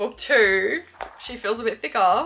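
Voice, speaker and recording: A woman's fairly high voice at a fairly slow pace, with very wide pitch swings. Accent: Australian. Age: 20s. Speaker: booktuber. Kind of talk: casual vlog chat. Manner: animated.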